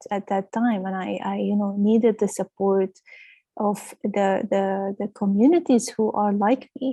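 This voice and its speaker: A woman of medium pitch, somewhat breathy, with a dark, mellow tone, fairly slow pace and ordinary pitch variation, in a dry, close sound with no echo and a quiet background. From Lebanon. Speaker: clinical director. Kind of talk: webinar presentation. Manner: hesitant, many fillers.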